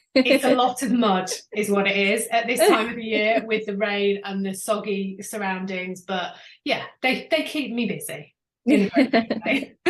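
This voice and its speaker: With a British accent, a woman speaks at a moderate pace in a fairly high, somewhat breathy voice with ordinary pitch variation. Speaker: business coach. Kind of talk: interview.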